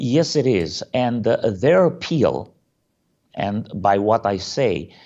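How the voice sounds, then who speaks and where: A man with a Romanian accent, very slow pace, and very wide pitch swings. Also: medium pitch for a man. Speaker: pastor. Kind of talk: interview. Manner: hesitant, many fillers.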